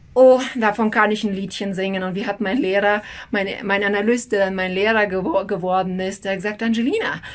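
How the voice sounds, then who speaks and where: An energetic tone comes through. The pace is fairly quick. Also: woman. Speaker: human design analyst and teacher. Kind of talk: educational video talk. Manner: rambling, metaphor-rich explaining.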